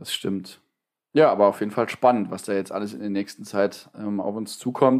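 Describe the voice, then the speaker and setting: On a very clean recording with a silent background, a man with a normal speaking voice and a fairly low pitch talks at a moderate pace, with ordinary pitch variation and big swings in loudness. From Saarland, Germany. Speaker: politician and trade unionist. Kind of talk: casual chat.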